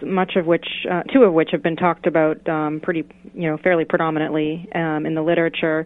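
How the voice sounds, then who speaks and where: A woman speaks at a fairly quick pace with a fairly low pitch. Hers is an unremarkable speaking voice. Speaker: professor. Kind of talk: radio interview.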